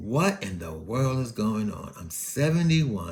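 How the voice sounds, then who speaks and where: A man's very slow, somewhat breathy speech with very wide pitch swings. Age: 70s. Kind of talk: casual podcast monologue.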